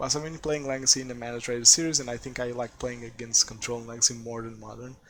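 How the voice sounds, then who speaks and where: Speaking in a Portuguese accent, a man holds a medium pitch with fairly even intonation. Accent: Portuguese accent, noticeable. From Portugal. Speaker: game streamer. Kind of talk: live gameplay commentary. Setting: live stream.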